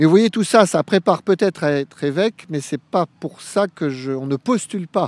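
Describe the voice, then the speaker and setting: Lively intonation runs at a moderate pace with hardly any pauses, in a dry sound with no echo. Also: man, high pitch for a man. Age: 50s. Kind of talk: radio interview. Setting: live radio broadcast at a youth event. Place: open country. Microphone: handheld.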